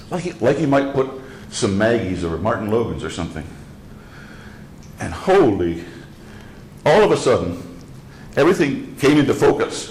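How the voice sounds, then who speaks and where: The speaker moves at a moderate pace with long, frequent pauses and very wide pitch swings. Audible echo fills the room. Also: man, medium pitch for a man. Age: 70s. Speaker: speaker designer giving a lecture. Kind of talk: lecture. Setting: club meeting with audience. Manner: halting.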